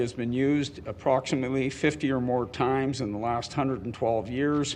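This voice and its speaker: A man's medium-pitched voice at a fairly quick pace, fairly even in intonation with hardly any pauses, over noticeable background noise. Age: 60s. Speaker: public hearing speaker, landlord. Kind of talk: public testimony.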